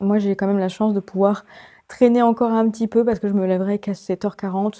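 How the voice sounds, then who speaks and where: Soft-spoken and at a medium pitch, a woman talks with fairly even intonation over a very clean recording with a silent background. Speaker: book vlogger. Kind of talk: casual vlog talk. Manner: hesitant, many fillers.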